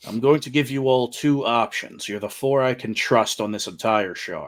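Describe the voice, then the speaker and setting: A man's voice sits at a medium pitch. He speaks in a put-on character voice. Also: moderate pace. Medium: actual play. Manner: grave, stern.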